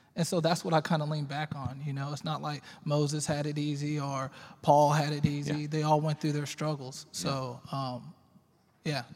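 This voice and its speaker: A man with an American accent, somewhat breathy and fairly high in pitch, flat and monotone at a moderate pace, on a very clean recording with a silent background. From Texas, Arlington. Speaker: juvenile probation officer. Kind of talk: panel discussion.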